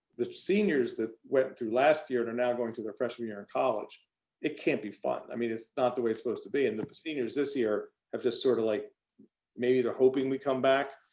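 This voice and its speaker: This man speaks at a fairly quick pace. His pitch is medium, with ordinary pitch variation. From Philadelphia, US Northeast. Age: 60s. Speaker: high school teacher and counselor. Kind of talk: interview. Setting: in person at school, plexiglass between speakers. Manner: halting, with false starts.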